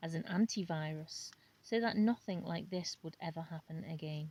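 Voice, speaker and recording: A woman talks at a moderate pace. Her fairly low voice is somewhat breathy. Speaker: amateur audiobook reader. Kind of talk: book reading. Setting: outdoors, home recording. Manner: unpolished, with pauses and mispronunciations.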